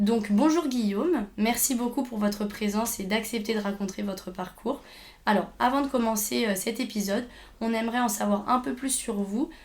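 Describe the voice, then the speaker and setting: A woman speaks in a somewhat breathy voice at a fairly high pitch. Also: ordinary pitch variation, moderate pace. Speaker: podcast host, speech therapy student. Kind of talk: interview.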